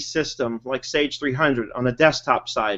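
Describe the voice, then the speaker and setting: An American-accented man talks at a fairly quick pace. His is an unremarkable speaking voice. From New York. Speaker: webinar host, bookkeeping trainer. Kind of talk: casual chat.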